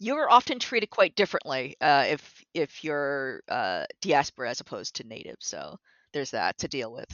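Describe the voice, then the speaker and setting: The voice moves at a moderate pace with big swings in loudness. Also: woman. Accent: Canadian. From Toronto, Canada. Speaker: concept artist. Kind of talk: casual interview. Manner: halting, hesitant.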